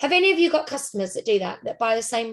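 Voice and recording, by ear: A woman talks at a fast pace with a fairly high pitch, a fairly bright tone and vocal fry.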